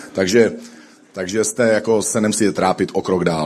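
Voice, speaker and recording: A man talks at a very fast pace. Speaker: pastor. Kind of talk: sermon.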